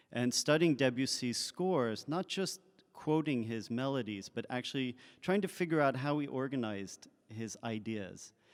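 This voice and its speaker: A man speaks at a moderate pace with lively intonation and a medium pitch. The recording is very clean, with a silent background. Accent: French. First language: French. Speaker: composer. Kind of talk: onstage interview. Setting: stage with audience.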